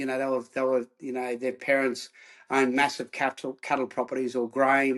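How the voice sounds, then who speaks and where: A man talks at a moderate pace with an Australian accent. His pitch is medium, and the background is quiet. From Australia, Queensland (Rockhampton). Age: 60s. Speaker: former rugby player turned counsellor. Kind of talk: interview.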